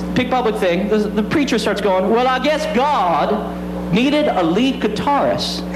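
Music plays in the background. Over it, a man speaks. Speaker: stand-up comedian. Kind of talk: stand-up comedy routine. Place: stage. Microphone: handheld.

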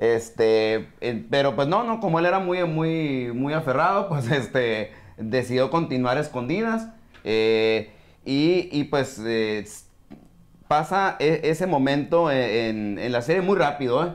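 At a very slow pace, a man with a fairly high pitch speaks using lively intonation. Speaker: sports podcaster. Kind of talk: casual chat. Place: studio.

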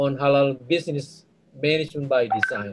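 The background stays quiet. A man talks. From Indonesia. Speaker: business school director. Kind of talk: closing remarks. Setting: video call. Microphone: video call.

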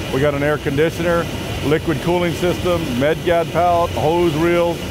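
A man talks at a fairly quick pace in a dry sound with no echo, with noticeable background noise. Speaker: aircraft crew guide. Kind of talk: tour explanation. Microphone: lapel.

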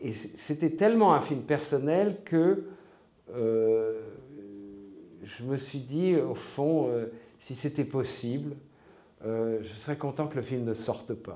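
Speaking very slowly with long, frequent pauses, a man's voice shows big swings in loudness. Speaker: interviewee. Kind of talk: interview answer. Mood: reflective, calm. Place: home room.

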